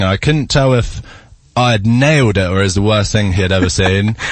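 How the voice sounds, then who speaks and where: The man's voice sits at a medium pitch as he talks at a moderate pace. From England. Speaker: actor and singer. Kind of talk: casual chat.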